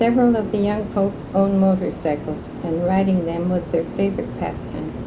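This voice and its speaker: The speaker keeps a moderate pace and fairly even intonation against noticeable background noise. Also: woman, medium pitch for a woman. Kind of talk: oral history interview recollection. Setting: recorded interview.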